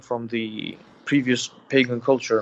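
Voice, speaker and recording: The speaker talks at a fairly slow pace. They have a non-native accent. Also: man. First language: not English. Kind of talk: call-in religious discussion. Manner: halting.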